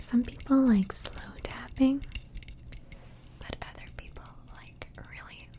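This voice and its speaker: A woman's gentle, whispering voice at a very slow pace. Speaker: ASMR artist. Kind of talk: ASMR demonstration to camera. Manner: soft-spoken, gentle.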